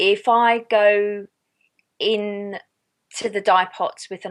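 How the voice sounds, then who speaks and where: A woman speaks with an Australian accent. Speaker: yarn dyer and small business owner. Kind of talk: interview answer.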